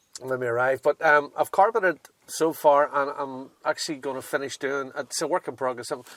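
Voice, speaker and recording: With a Northern Irish accent, a man speaks at a fairly high pitch and fairly quick pace, with ordinary pitch variation and a dry, close sound with no echo. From Northern Ireland. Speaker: 4WD owner showing his vehicle. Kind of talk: casual chat. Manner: hesitant, many fillers.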